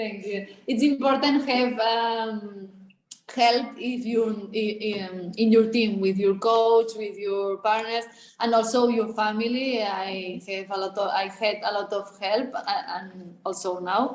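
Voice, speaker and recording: A woman with a Spanish accent at a very slow pace, fairly high in pitch, with fairly even intonation. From Spain. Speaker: athlete. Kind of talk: interview. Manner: halting.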